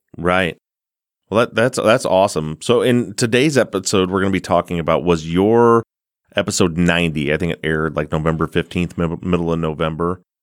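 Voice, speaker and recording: Someone talks at a fairly quick pace with a slight Midwestern accent and ordinary pitch variation. The sound is dry and close with no echo, a very clean recording with a silent background. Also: man, very deep, low pitch for a man. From US Midwest. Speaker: podcast host. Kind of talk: casual interview chat.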